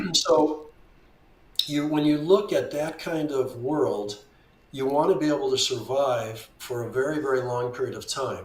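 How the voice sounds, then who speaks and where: There's audible room echo as a man speaks at a fairly high pitch and fairly slow pace with ordinary pitch variation. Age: 70s. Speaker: veteran trader. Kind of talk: interview conversation.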